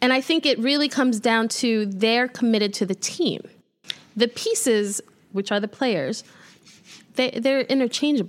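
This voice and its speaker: In a New York accent, a woman with a fairly high pitch and ordinary pitch variation talks at a moderate pace with long, frequent pauses and very even loudness, on a very clean recording with a silent background. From New York, Brooklyn (Midwood). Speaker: sports journalist. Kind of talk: casual chat. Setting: studio.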